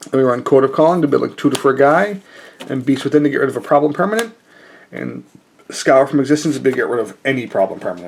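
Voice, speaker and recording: Talking at a very fast pace, a man with a fairly high pitch and vocal fry uses lively intonation. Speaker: card game youtuber. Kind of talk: deck tech tutorial. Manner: casual, many fillers.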